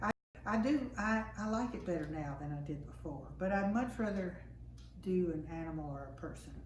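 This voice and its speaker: A woman talks with a Tennessee accent. Noticeable background noise and audible room echo surround her. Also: moderate pace. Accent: US Southern (Tennessee). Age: 70s. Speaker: acrylic painter. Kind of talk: casual interview. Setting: artist's home.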